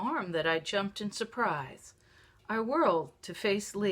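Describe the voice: Ordinary pitch variation over plain reading aloud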